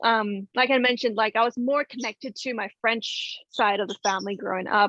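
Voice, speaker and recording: With an American accent, a woman speaks in an ordinary speaking voice at a fairly quick pace, her pitch fairly high and her intonation fairly even, in a dry, close sound with no echo. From US South. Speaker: knitwear designer. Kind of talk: interview. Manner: casual with many fillers and restarts.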